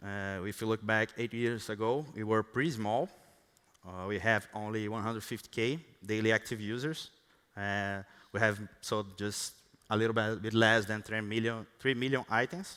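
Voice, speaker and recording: A man's voice in a Brazilian Portuguese accent. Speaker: software engineer. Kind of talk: conference talk. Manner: halting, many fillers and restarts.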